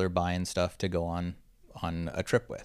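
In a very clean recording with a silent background, a man with a Californian accent speaks in a very deep, low pitch. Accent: Californian American English. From Southern California (Orange County). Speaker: consumer electronics marketing executive. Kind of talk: podcast interview.

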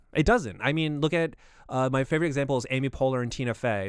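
A man speaks very fast at a medium pitch, with ordinary variation. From rural area. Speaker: podcast producer. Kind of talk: casual chat.

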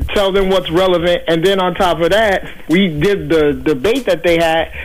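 A high-pitched male voice with fairly even intonation, music playing in the background. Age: 30s. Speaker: caller. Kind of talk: call-in discussion.

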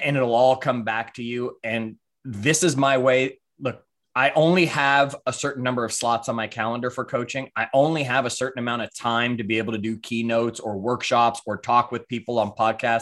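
A man speaks in a normal speaking voice at medium pitch, with fairly even intonation and a moderate pace. The recording is very clean, with a silent background. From Canada, Toronto. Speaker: coach, author and speaker. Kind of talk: casual interview chat.

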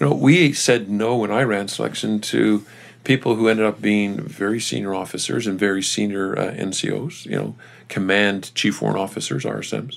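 An ordinary speaking voice from a man with a Canadian accent, fairly low pitch, ordinary pitch variation and a fairly quick pace. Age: 50s. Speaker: retired army general. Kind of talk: interview.

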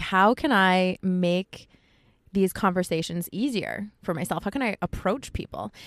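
Here is a woman with an American accent, an ordinary speaking voice and a medium pitch, speaking at a fairly slow pace. The recording is very clean with a silent background, its sound dry and close with no echo. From US East Coast, Connecticut. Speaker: photographer, project founder. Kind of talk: casual interview chat. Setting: inside a parked car.

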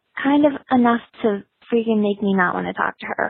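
This woman has a normal speaking voice. Her pitch is fairly high and her intonation lively. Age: 30s. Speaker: caller. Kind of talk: voicemail. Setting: phone call. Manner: fast.

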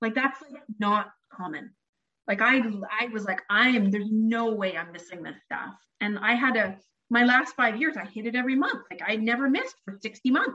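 In a Canadian accent, a woman speaks at a moderate pace with a fairly high pitch, a bright, sharp tone and ordinary pitch variation. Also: big swings in loudness. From Canada. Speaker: therapist, former MLM seller. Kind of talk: casual interview chat.

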